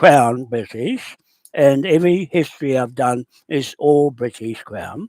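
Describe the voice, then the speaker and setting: In a New Zealand accent, a man with a fairly high pitch speaks fairly slowly, his loudness swinging widely and his pitch varying in an ordinary way, in a dry, close sound with no echo. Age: 70s. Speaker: land claims campaigner. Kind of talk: phone call. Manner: halting.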